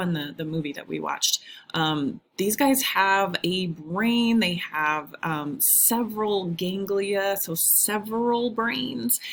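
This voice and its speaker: In a plain, everyday voice, a woman speaks at a fairly slow pace. Her medium pitch moves with lively intonation. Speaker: high school biology teacher. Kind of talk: recorded video lecture. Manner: casual, with many fillers (um, uh).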